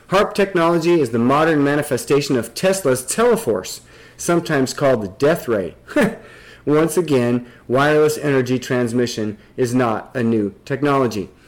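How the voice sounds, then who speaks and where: A man with an American accent and an unremarkable speaking voice talks at a moderate pace, fairly high in pitch. His intonation is lively while his loudness stays very even. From Nebraska. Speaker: podcast host. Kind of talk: casual discussion.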